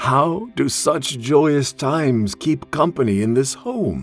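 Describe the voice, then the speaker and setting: Faint music plays in the background as a man, at medium pitch, uses a put-on character voice at a fairly slow pace. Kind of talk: audio drama character performance.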